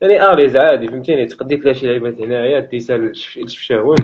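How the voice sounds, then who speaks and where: Ordinary pitch variation marks a man's speech at a very fast pace. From Tangier, Morocco. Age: young. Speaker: shop storekeeper. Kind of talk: casual street interview answer. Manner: humorous, outgoing.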